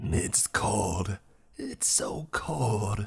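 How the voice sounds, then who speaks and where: A man's put-on character voice, raspy and hissing, at a fairly low pitch. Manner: mocking.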